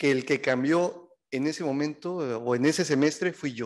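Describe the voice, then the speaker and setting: This man's voice sits fairly high, with ordinary pitch variation. He speaks at a fairly slow pace over a quiet background. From Mexico. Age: 50s. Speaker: gender equality activist and sociologist; speaker. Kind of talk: talk to a seminar audience; lecture. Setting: event hall with audience. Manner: hesitant, many fillers. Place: classroom. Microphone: podium.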